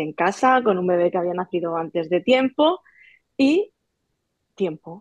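Woman's fairly low voice, lively in intonation, at a fairly slow pace. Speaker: teacher and sewing creator. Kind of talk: interview. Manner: halting.

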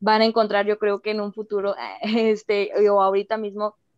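Medium in pitch, a woman talks at a moderate pace in monotone, flat intonation. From Mexico. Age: 20s. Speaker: former youth political worker. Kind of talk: casual chat.

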